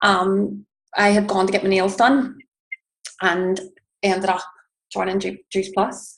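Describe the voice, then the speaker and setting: In an Irish accent, a woman speaks at medium pitch and a fairly slow pace, flat and monotone, with long, frequent pauses. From Northern Ireland, Belfast. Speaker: network marketing distributor. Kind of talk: personal testimony.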